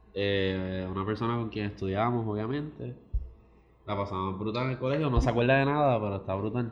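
A fairly quick pace with ordinary pitch variation, amid noticeable background noise. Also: man, fairly low pitch for a man. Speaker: podcast co-host. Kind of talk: casual chat.

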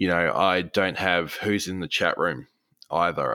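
A man with a very deep, low pitch and a bright, sharp tone speaks at a moderate pace. The recording is very clean, with a silent background and a dry, close sound with no echo. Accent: Australian. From Australia. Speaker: streamer. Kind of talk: casual chat.

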